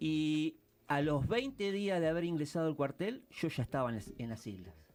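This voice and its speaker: Moderate pace and a fairly high male voice, the man's pitch swinging very widely. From Argentina, Mar del Plata. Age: 60s. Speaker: war veteran. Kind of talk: interview. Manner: hesitant, many fillers.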